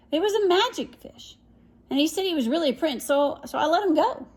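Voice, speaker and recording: Here is a woman in a put-on character voice. Her pitch is extremely high and her pace fairly quick. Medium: read story. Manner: meek, reluctant.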